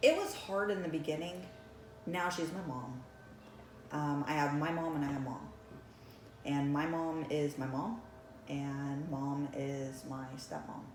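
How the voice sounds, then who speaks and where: A woman with a very deep, low pitch talks at a fairly slow pace with long, frequent pauses. Audible room echo and noticeable background noise surround her voice. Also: ordinary pitch variation. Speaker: realtor and broker. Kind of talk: life-story interview. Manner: casual, with frequent um fillers.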